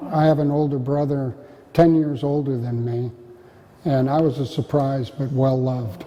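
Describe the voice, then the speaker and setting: Over noticeable background noise, a man with an American accent speaks at a moderate pace in a fairly high voice with fairly even intonation. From US West, Marin County, California. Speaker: oral history interviewee. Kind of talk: oral history interview. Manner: halting.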